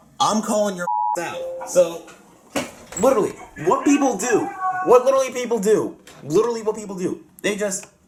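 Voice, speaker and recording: Over noticeable background noise, a man with a high-pitched voice speaks with lively intonation and long, frequent pauses. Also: fairly quick pace. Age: 20s. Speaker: radio collector. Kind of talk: casual group chat. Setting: group voice call.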